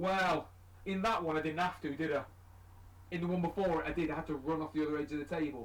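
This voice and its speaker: Against noticeable background noise, a man talks very fast at a fairly high pitch with fairly even intonation. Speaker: tabletop wargaming streamer. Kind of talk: casual chat during live game stream. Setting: live stream. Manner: loud.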